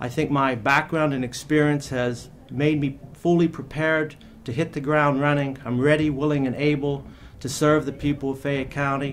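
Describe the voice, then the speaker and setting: Pitched fairly high, a man speaks at a moderate pace with fairly even intonation. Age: 50s. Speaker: judicial candidate, lawyer. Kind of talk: closing statement at candidate forum. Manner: halting, many filler uhs.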